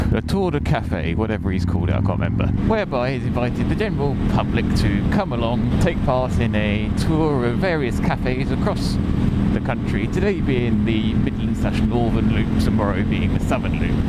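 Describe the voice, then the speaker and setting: Noticeable background noise surrounds a man of medium pitch who barely pauses. His pitch swings very widely, yet his loudness stays very even. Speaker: motorcycle vlogger. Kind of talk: casual motovlog talk while riding. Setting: outdoors. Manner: fast.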